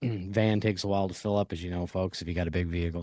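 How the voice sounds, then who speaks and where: In a dry, close recording with no echo, a man with a dark, mellow tone speaks at a very fast pace. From Nova Scotia, Canada. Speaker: podcast host, construction worker. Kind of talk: casual chat. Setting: job trailer, remote recording.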